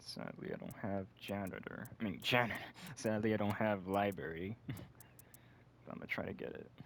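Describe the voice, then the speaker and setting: Quiet and relaxed in tone, a man talks at a fairly low pitch with ordinary pitch variation and long, frequent pauses. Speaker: gaming video creator. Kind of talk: casual gameplay commentary. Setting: at home, someone next door. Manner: quiet, hushed; relaxed, chill. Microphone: broken mic, may sound poor.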